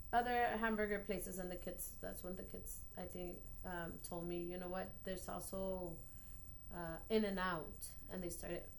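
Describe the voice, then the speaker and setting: With a Spanish accent, a woman talks at a moderate pace and medium pitch. Her intonation is fairly even, and the room echo is audible. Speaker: elementary school teacher. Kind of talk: post-observation feedback conversation. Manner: halting, many fillers.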